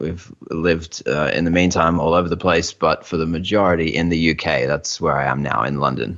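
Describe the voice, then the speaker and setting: Over noticeable background noise, a man with a very deep, low pitch talks at a fairly quick pace, with fairly even intonation and hardly any pauses. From Australia. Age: young. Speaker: internet marketing expert. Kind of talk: interview.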